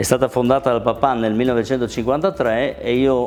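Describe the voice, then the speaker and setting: A man talks at a medium pitch. There is noticeable background noise. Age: 60s. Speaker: kitchen manufacturer, business owner. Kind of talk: business testimony.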